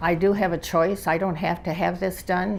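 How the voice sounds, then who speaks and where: A woman's monotone, flat delivery over noticeable background noise. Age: 90s. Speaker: patient. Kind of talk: interview.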